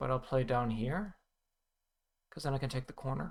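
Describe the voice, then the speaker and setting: With an American accent, a man speaks at a medium pitch with ordinary pitch variation and some vocal fry. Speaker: go player streamer. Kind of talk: live game commentary. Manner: thinking aloud, halting.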